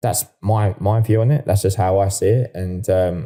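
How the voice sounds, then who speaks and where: A man with an Essex accent speaks in a fairly low pitch, his dark, mellow tone somewhat breathy, with ordinary pitch variation. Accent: Essex, sounds like an estate agent. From Essex, England. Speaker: property surveyor. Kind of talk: podcast interview. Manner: casual, repetitive with false starts.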